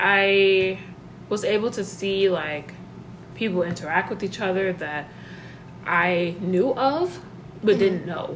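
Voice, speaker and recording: A woman speaks at a medium pitch and a fairly slow pace, with ordinary pitch variation. She leaves long, frequent pauses, and background noise is noticeable. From Mali-born, raised in Georgia, US. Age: 20s. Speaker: podcast host. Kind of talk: casual chat.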